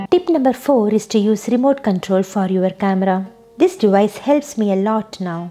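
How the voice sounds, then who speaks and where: At a moderate pace, a woman with a non-native accent talks in a fairly high voice with ordinary pitch variation. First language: not English. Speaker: YouTube creator, software developer. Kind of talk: scripted tutorial.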